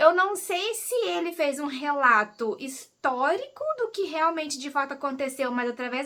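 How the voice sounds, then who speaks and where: A woman with a high pitch and a bright, sharp tone raises and projects her voice, swinging very widely in pitch at a fairly slow pace. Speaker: book YouTuber. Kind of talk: casual book review vlog. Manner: casual, hesitant with fillers.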